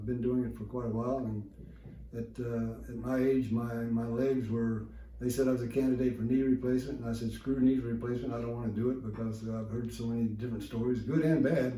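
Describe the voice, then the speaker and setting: Audible room echo carries a man's medium-pitched voice. He speaks monotone, with flat intonation, at a fairly quick pace. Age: 70s. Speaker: patient testimonial, equestrian athlete. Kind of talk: testimony. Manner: halting.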